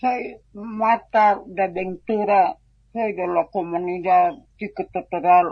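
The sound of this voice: Fairly low in pitch, a woman speaks at a slow pace with a slightly husky edge. Her intonation stays fairly even.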